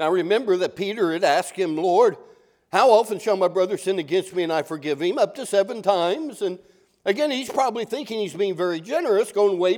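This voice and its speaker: High-pitched male voice, fairly quick and with lively intonation. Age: 60s. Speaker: pastor. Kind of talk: sermon. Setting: church.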